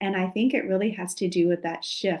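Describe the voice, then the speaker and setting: This woman has a plain, everyday voice at medium pitch, with ordinary pitch variation. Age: 50s. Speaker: podcast host, clinical herbalist and health coach. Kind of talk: casual chat.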